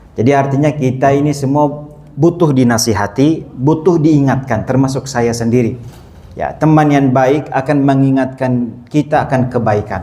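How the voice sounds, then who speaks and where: A man talks at a moderate pace with fairly even intonation. Room echo can be heard. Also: medium pitch for a man. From Saudi Arabia (Mecca). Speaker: Islamic preacher. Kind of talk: religious lecture. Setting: mosque.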